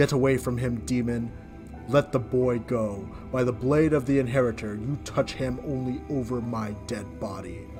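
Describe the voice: A man does a booming, put-on character voice at a medium pitch, keeping a moderate pace with hardly any pauses. Clear music plays in the background.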